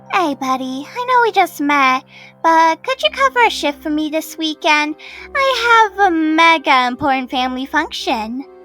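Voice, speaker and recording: Over faint music in the background, a female-sounding put-on character voice reaches an extremely high pitch. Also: moderate pace. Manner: sweet, wheedling.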